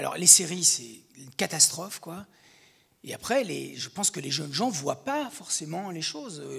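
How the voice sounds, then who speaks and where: Over a quiet background, a man talks at a moderate pace with big swings in loudness. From Belgium. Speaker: film director; guest. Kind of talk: interview. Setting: studio. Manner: halting; animated. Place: hall. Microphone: handheld.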